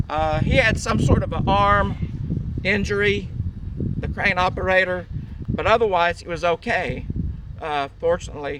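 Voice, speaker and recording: A man's high voice at a moderate pace with very wide pitch swings, over noticeable background noise. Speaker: army veteran. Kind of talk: recollection told on site. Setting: outdoors.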